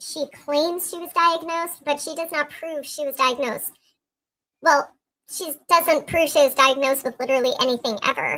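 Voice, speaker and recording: A squeaky put-on character voice goes along at a moderate pace. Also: woman, high pitch for a woman. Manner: mocking, sarcastic.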